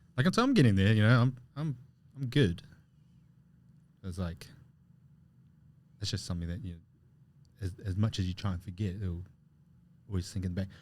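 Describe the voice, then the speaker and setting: The man's fairly low voice is somewhat breathy, with ordinary pitch variation. He moves at a fairly quick pace but leaves long, frequent pauses. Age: 30s. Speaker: podcast co-host. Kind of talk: casual chat.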